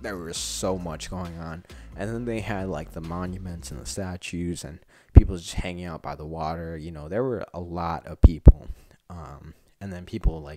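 Faint music plays behind a man whose very deep, low pitch moves with ordinary variation. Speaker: vlogger. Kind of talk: casual vlog chat. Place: home room. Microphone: handheld.

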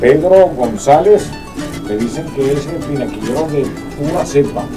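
Clear music plays in the background while a man talks at a moderate pace. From Venezuela. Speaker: veteran radio announcer. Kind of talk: radio announcer on-air patter. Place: studio.

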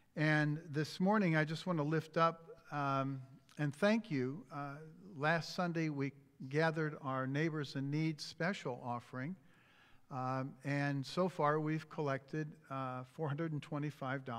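A man speaking at a very slow pace, with fairly even intonation over a quiet background. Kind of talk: church announcements. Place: church.

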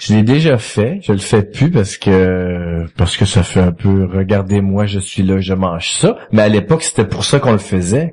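A man with a Quebec accent speaks at a fairly slow pace. His pitch is fairly low, with ordinary pitch variation. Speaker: comedy writer, former business executive. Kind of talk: casual chat. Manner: jokey.

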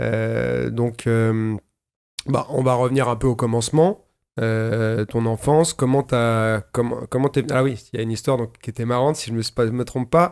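The background is quiet while a man talks at a fairly slow pace. His intonation is fairly even. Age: 40s. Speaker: podcast host; podcast host, martial arts teacher. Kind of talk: casual chat. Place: studio. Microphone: studio mic.

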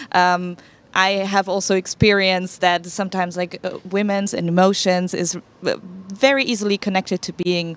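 A woman speaks with a German accent. The sound is dry, with no echo. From Germany. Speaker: startup founder. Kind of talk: panel discussion. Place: hall. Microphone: handheld.

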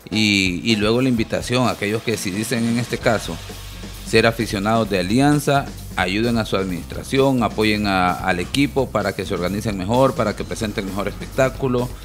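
Clear music plays in the background. A man talks at a moderate pace with a fairly low pitch and ordinary pitch variation. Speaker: panelist. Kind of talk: commentary. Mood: serious, critical. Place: studio. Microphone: headset.

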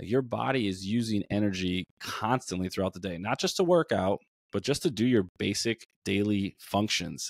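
A man talks at a moderate pace in a fairly low pitch with ordinary pitch variation. The sound is dry with no echo, over a quiet background. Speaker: nutrition coach, podcast co-host. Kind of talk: conversational podcast discussion. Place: home room. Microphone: studio mic.

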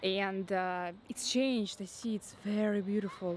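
The speech moves at a fairly slow pace with fairly even intonation, a dry sound with no echo, and noticeable background noise. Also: woman. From Russia. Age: 30s. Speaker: travel companion; travel vlogger. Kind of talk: casual chat. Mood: relaxed, pleased. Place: garden. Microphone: phone near.

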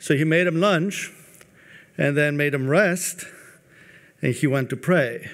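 Over a quiet background, a man speaks at a fairly slow pace with a fairly high pitch and ordinary pitch variation. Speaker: Orthodox clergy; speaker. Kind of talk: panel talk. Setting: stage with audience. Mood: calm, solemn storytelling. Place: hall. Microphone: podium.

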